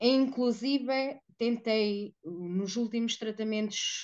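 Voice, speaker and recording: The woman's pitch is fairly high, with ordinary variation. The background is quiet. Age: 40s. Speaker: woman living with HIV. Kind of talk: testimony.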